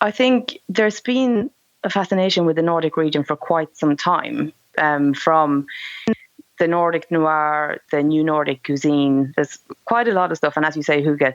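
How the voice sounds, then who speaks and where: In a Swedish accent, a woman speaks at a moderate pace with a very deep, low voice and lively intonation. Her loudness stays very even, in a dry, close sound with no echo. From Sweden. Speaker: author. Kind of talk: podcast interview answer.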